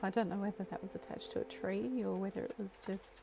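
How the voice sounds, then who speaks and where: A woman talks at a fairly quick pace in a relaxed tone. Noticeable background noise runs underneath. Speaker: gamer and craft artist. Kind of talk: casual gameplay commentary. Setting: poor-quality microphone. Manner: relaxed, soft-spoken.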